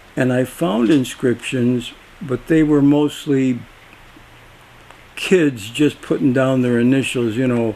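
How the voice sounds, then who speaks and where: At a very slow pace and with long, frequent pauses, a man talks in a medium pitch with ordinary pitch variation over noticeable background noise. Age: 80s+. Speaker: local historian. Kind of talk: interview. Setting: at his house. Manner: halting.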